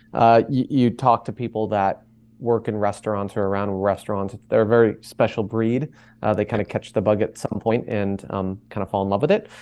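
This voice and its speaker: A man speaks fairly quickly with an American accent, his pitch fairly low and his intonation fairly even. It is an unremarkable speaking voice. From Boston, Massachusetts. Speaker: cookware company co-founder. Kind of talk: interview.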